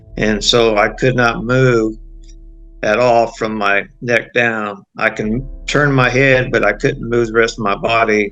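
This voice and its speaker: Music plays in the background as a man with an American accent speaks in monotone, flat intonation. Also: medium pitch for a man, fairly slow pace. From Southern California. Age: 60s. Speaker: retired law enforcement officer. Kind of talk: testimony. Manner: halting, frequent uh fillers.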